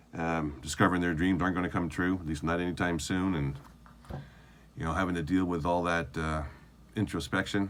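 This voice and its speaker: A man with a Canadian accent speaks at a fairly quick pace in a very deep, low voice, his flat, monotone delivery broken by long, frequent pauses amid audible room echo. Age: 60s. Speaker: video diarist, former army sergeant. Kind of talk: video diary monologue. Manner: halting, with many fillers.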